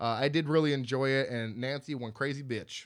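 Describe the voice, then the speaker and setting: A man talks at a fairly quick pace. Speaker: podcast co-host. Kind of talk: casual chat. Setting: home studio. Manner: loud.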